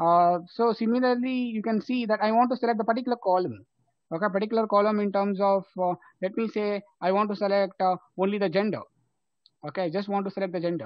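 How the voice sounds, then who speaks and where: This man has a high-pitched voice and talks very fast. His intonation stays fairly even. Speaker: programming instructor. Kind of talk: live online lecture.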